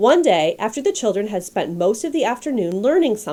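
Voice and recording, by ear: The clip is read aloud. It is delivered in a natural voice.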